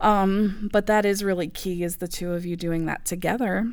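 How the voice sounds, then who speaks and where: An ordinary speaking voice: a woman at a moderate pace and medium pitch, with an American accent. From US South (Bible Belt). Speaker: tarot reader. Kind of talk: interview.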